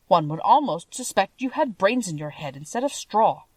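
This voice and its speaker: Using a put-on character voice, a woman speaks at a moderate pace in a medium pitch with very wide pitch swings. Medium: read story. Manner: timid, anxious.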